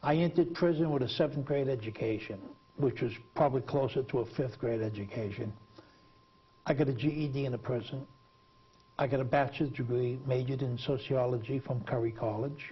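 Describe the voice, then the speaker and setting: Fairly quick and somewhat breathy, a man speaks at medium pitch. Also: ordinary pitch variation. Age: 60s. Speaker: TV talk show host, former prisoner. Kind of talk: TV interview.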